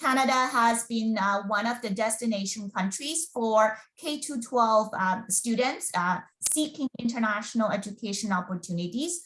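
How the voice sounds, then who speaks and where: With a Mandarin accent, a woman talks at a moderate pace in a fairly high voice with a bright, sharp tone. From China. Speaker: school board recruitment officer. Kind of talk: webinar presentation. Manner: halting, many fillers.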